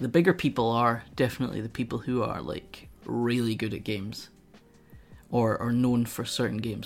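A man with a Scottish accent speaks at a medium pitch. His pace is moderate and his intonation fairly even. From Scotland. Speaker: streamer. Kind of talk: casual chat.

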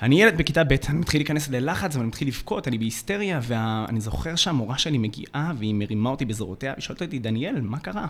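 Lively intonation marks a man's medium-pitched voice. He talks at a very fast pace. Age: 20s. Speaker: youth mentor and podcast co-host. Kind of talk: personal storytelling.

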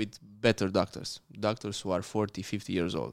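A man's fairly low voice at a moderate pace, with fairly even intonation, on a very clean recording with a silent background. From Romania. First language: Romanian. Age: young. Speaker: dentist. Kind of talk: casual interview. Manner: halting.

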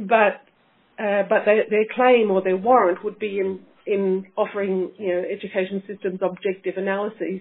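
With an Australian accent, a woman speaks at a moderate pace in a medium pitch. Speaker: teacher educator, academic researcher. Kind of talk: interview. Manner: halting, many fillers.

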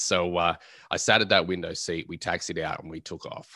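A man with an Australian accent, very deep, low pitch and a bright, sharp tone, fairly even intonation at a fairly quick pace, against a quiet background. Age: 20s. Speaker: pilot and motivational speaker. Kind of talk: interview.

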